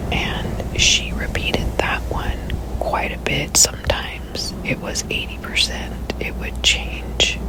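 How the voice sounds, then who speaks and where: Someone whispers at a very slow pace with hardly any pauses. Noticeable background noise is present. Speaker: ASMR creator. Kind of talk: ASMR storytelling, whispered; personal anecdote about a former coworker, told to the audience. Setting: close-mic studio recording. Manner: whispered, soft-spoken.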